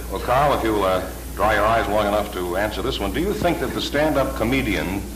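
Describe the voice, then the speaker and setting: Noticeable background noise sits under this recording. A man talks at a fairly quick pace. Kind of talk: panel moderator opening remarks.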